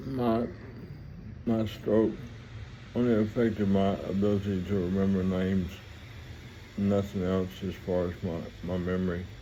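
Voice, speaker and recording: Amid audible room echo, a man with a dark, mellow tone and a fairly low pitch speaks with fairly even intonation and long, frequent pauses. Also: moderate pace. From US South, Mississippi (Vicksburg). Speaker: vlogger telling life story. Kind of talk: personal storytelling monologue. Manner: halting, rambling with repetitions.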